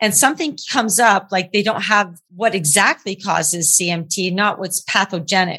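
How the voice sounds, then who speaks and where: Woman of medium pitch, bright and sharp in tone, at a moderate pace with ordinary pitch variation and hardly any pauses. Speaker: podcast host. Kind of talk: casual podcast interview. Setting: remote recording from California. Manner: jokey, laughs often.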